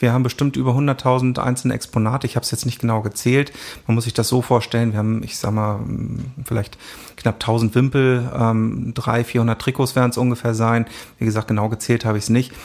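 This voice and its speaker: A man speaks fairly quickly at a medium pitch. His intonation is monotone and flat. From northern Germany, Hanover region (Isernhagen). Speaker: football club archivist and historian. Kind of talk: interview. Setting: club archive room.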